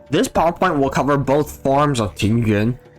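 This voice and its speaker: Someone speaks at a moderate pace. Music plays in the background. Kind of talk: game character guide narration.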